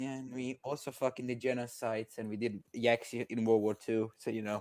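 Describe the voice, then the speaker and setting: With a Croatian accent, a man talks at a fairly quick pace in a medium pitch and a monotone, flat delivery, recorded with a dry, close sound and no echo. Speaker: caller debating on stream. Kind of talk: casual debate chat.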